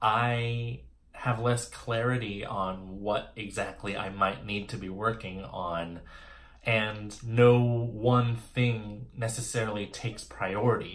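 This voice belongs to a man. His pitch variation is ordinary. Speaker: playwright vlogger. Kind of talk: casual vlog chat. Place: home room. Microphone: phone near.

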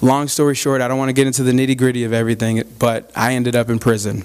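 A man with an American accent talks at a very fast pace in monotone, flat intonation over a quiet background. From Arizona. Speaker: reentry program manager, former inmate; guest. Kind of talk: public talk to a club audience. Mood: friendly, earnest. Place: hall. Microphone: podium.

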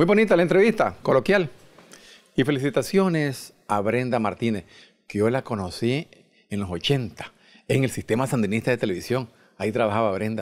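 A man with a Nicaraguan accent speaks at a moderate pace, leaving long, frequent pauses. His pitch swings very widely over a quiet background. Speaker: TV show host. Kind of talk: TV interview show host, introducing guests. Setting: studio. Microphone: handheld.

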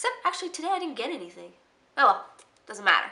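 Raising and projecting her voice, a woman speaks in a bright, sharp tone at an extremely high pitch with very wide pitch swings. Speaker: beauty and freebie vlogger. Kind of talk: casual vlog. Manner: animated.

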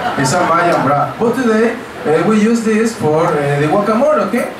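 A man with a high voice speaks fairly slowly amid noticeable background noise and audible room echo. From Mexico. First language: Spanish. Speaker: cooking class instructor. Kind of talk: cooking class demonstration. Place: shop. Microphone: pa.

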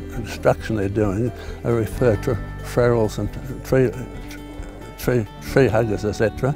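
A man's fairly low voice at a moderate pace, fairly even in intonation, dry with no echo, with clear music in the background. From Sydney, Australia. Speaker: war veteran; environmental protester. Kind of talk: interview answer. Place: open country. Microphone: lapel.

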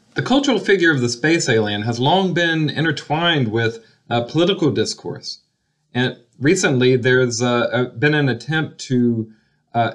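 A man at a moderate pace over a quiet background. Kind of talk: interview answer. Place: home room. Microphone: webcam.

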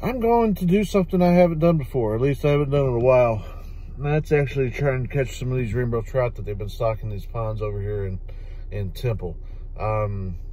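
A man talking at a very fast pace, dry with no echo, over light background noise. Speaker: fishing vlogger. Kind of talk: casual vlog chat. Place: car. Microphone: phone near.

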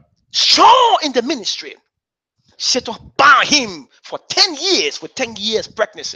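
Against a quiet background, a man talks at a fairly slow pace in an extremely high pitch, with very wide pitch swings and big swings in loudness. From Liberia. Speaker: bishop. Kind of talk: sermon. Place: church.

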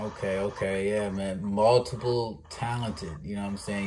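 Moderate pace from a man with a fairly low pitch, noticeable background noise around him. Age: 20s. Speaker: podcast host. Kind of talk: casual interview. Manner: animated.

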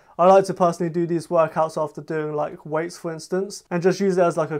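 A man's high voice, monotone and flat, against a quiet background. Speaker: fitness youtuber. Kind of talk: casual vlog chat. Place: home room. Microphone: camera far.

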